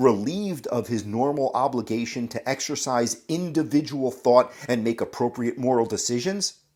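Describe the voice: The reading aloud is plain, though the intonation is lively.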